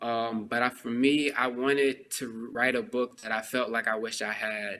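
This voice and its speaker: Here a man speaks with an American accent at a moderate pace. His tone is bright and sharp, his intonation monotone and flat. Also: medium pitch for a man. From Texas. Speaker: author. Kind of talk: podcast interview. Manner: casual, many fillers.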